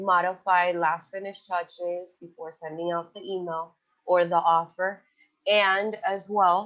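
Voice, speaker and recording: A woman's normal speaking voice at a medium pitch, fairly slow in pace, with fairly even intonation. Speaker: software trainer. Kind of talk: webinar tutorial. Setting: online webinar.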